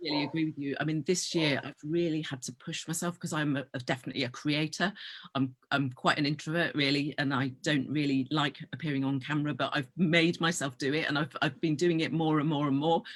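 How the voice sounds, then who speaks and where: A woman's very deep, low-pitched voice with a British accent, at a fairly quick pace with hardly any pauses and fairly even intonation. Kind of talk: interview. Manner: fast.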